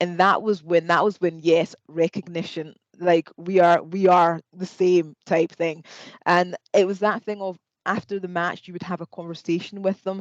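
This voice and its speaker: In a Scottish accent, the speaker talks at a moderate pace with monotone, flat intonation and a dry, close sound with no echo. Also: woman, fairly low pitch for a woman. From Scotland. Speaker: podiatry lecturer and panel moderator. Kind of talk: panel discussion.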